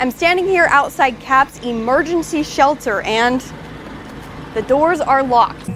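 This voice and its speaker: Noticeable background noise sits behind a woman speaking at a moderate pace. Her pitch varies in an ordinary way. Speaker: TV news reporter and anchor. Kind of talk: TV news report.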